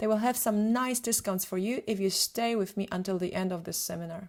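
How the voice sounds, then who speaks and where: A woman in a Polish accent, medium pitch with ordinary pitch variation, at a moderate pace. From Poland. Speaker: photographer and retoucher. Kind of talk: webinar presentation.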